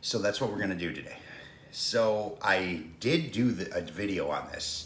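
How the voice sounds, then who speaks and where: A man's fairly low voice with light background noise and audible room echo. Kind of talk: casual cooking vlog intro. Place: kitchen. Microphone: phone near.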